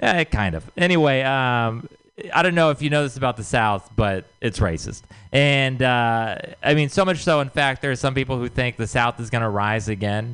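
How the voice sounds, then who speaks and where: Moving at a moderate pace with ordinary pitch variation, a plain, everyday voice comes through with an American accent. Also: man, medium pitch for a man. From Texas. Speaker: comedian. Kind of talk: stand-up. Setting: stage with audience.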